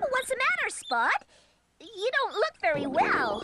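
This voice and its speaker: An extremely high-pitched cartoonish character voice jumps through very wide pitch swings. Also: moderate pace. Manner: excitable.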